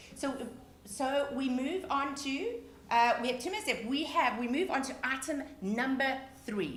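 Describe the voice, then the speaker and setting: A woman with a South African accent speaks in a high pitch with an animated tone at a moderate pace, with audible room echo. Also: ordinary pitch variation. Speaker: charity event auction host. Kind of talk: live charity auction hosting. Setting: live virtual broadcast.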